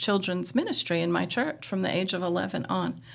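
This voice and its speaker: Speaking at a moderate pace, a woman uses a fairly low pitch, lively intonation and vocal fry. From Brooklyn, New York. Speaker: former houseparent, long-time staff member. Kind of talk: interview, personal testimony.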